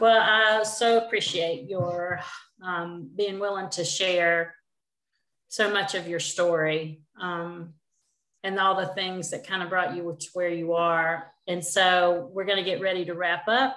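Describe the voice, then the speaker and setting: Over audible room echo, a woman with a bright, sharp tone speaks at a fairly slow pace, her intonation fairly even. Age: 50s. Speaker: community webinar host. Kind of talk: casual interview. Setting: video call from an apartment. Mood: warm, appreciative. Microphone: video call.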